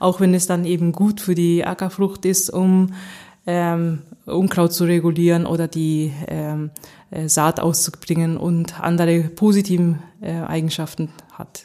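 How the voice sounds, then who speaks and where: A woman's fairly low voice has a dark, mellow tone. She talks at a fairly slow pace with monotone, flat intonation. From Japan (Nagoya), German mother. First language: Japanese (stronger), German from mother (speaking German). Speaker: agricultural science professor. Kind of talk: interview. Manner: halting, many fillers.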